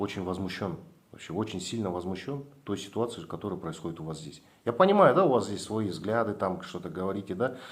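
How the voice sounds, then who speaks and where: Speaking at a fairly quick pace, a man uses lively intonation with a fairly low pitch. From Kazakhstan. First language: Kazakh (speaking Russian). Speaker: activist blogger. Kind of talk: confrontational meeting with officials.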